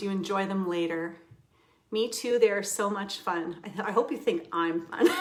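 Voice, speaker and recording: Amid audible room echo, a woman talks at a moderate pace with a medium pitch. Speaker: crafting instructor. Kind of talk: live tutorial stream. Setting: home livestream. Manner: loud; animated, giggly.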